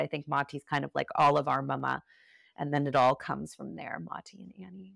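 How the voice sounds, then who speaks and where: At a moderate pace, a woman talks in a dry, close sound with no echo. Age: 40s. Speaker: yoga teacher and author. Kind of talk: interview conversation.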